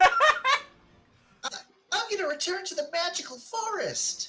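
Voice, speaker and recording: A put-on character voice at an extremely high pitch, fairly slow pace. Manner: mimicking a different voice.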